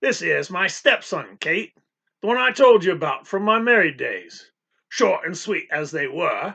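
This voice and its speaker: At a moderate pace, a put-on character voice growls its lines. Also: man, high pitch for a man. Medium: read story. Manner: growling.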